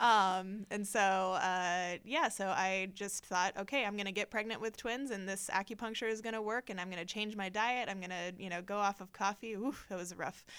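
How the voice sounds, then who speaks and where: On a very clean recording with a silent background, a woman with a medium pitch speaks at a moderate pace with fairly even intonation and hardly any pauses. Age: 30s. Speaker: children's ministry director. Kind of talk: personal testimony. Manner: hesitant, many filler words.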